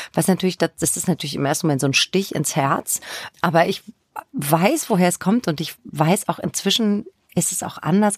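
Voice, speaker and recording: A woman's ordinary speaking voice at a fairly quick pace, with ordinary pitch variation and a dry, close sound with no echo. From Germany, Spessart (northern Bavaria). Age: 50s. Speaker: crime novelist. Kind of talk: interview conversation.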